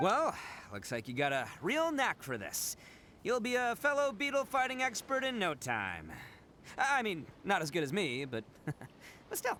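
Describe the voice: A man does a put-on character voice, high-pitched with a bright, sharp tone and very wide pitch swings. He speaks at a fairly slow pace over faint background noise.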